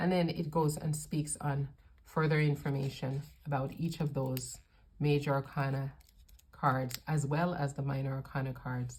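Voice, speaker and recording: A woman speaks at a moderate pace in a very deep, low pitch, somewhat breathy. Her intonation stays flat and monotone. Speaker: tarot reader. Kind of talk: unboxing video review.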